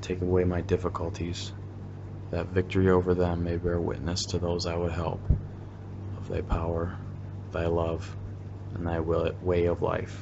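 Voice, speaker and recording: A man speaks at a moderate pace in a very deep, low pitch, somewhat breathy. His intonation stays monotone and flat, broken by long, frequent pauses. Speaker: meditation guide. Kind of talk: guided meditation with prayer readings; fervent prayer, earnest and devout. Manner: earnest, heartfelt, reverent.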